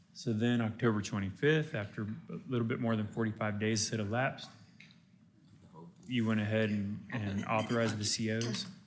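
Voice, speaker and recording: At a moderate pace, a man speaks at medium pitch with ordinary pitch variation. Long, frequent pauses and audible room echo come through. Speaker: bond counsel presenting to county commissioners. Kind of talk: briefing presentation. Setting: county commissioners court meeting. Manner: loud.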